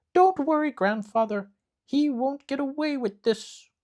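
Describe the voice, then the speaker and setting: In a put-on character voice, a man talks at a moderate pace with an extremely high pitch, on a very clean recording with a silent background. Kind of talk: bedtime story. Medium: read story. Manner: sweet, innocent-seeming.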